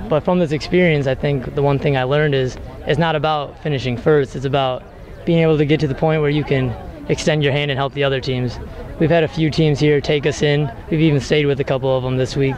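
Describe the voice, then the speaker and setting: A man talks very fast in a flat monotone at a very even loudness, with a dry, echo-free sound and light background noise. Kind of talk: interview answer. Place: street. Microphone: handheld.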